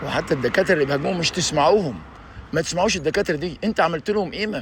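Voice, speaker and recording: Talking at a very fast pace, a man with a high pitch sounds animated, his pitch varying in an ordinary way. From Egypt. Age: 60s. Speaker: YouTuber. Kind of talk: video monologue.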